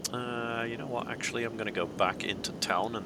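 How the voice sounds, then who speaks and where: A man speaks with a Dutch accent. Noticeable background noise sits behind him. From Netherlands. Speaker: video game streamer. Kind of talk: live game commentary.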